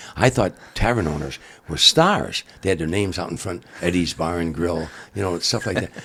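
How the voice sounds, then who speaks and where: The tone is animated, with ordinary pitch variation and a moderate pace. Noticeable background noise is present. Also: man, very deep, low pitch for a man. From Chicago area, US Midwest. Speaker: comedian. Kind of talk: casual interview storytelling. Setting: in the guest's home. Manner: animated, repetitive false starts.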